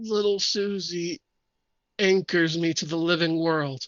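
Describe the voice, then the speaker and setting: Someone uses a raspy, put-on character voice at a middle pitch, speaking at a fairly slow pace. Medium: actual play.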